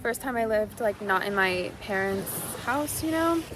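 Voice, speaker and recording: A woman's fairly high voice carries lively intonation at a moderate pace, with noticeable background noise around her. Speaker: content creator and fashion brand owner. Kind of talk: casual vlog Q&A. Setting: outdoors on a beach. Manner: loud, carefully enunciated.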